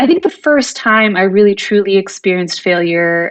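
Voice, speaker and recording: At a moderate pace, a woman speaks with a Californian accent. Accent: Californian American. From US West Coast, California Bay Area. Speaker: tech executive. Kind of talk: podcast interview. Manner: halting, many fillers.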